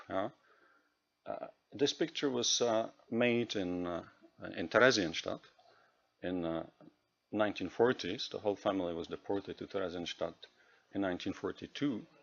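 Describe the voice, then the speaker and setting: A man speaks at a moderate pace with a Czech accent, his fairly low pitch showing ordinary variation. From Czech Republic. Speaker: EU program official. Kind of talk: presentation. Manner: halting.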